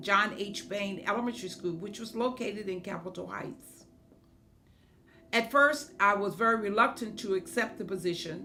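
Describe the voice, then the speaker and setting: Over noticeable background noise and audible room echo, a woman at a medium pitch speaks at a moderate pace, with ordinary pitch variation and big swings in loudness. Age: 70s. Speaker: state senator and former school principal. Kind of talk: testimony. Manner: hesitant with frequent fillers.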